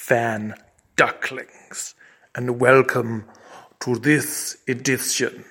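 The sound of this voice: Fairly even intonation carries this unforced reading voice.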